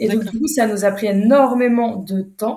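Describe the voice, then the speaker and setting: A somewhat breathy woman at a medium pitch with fairly even intonation. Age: 30s. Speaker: entrepreneur, brand founder. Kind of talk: interview. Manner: hesitant, many fillers.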